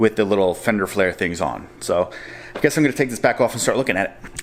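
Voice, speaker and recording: The man's speech moves at a very fast pace. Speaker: car DIY youtuber. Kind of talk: casual DIY tutorial narration. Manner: loud.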